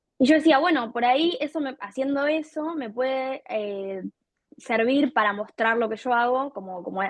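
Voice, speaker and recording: Using a plain, everyday voice, a woman moves at a moderate pace with ordinary pitch variation. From Argentina, Buenos Aires province. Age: 20s. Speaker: content creator and artist. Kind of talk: interview.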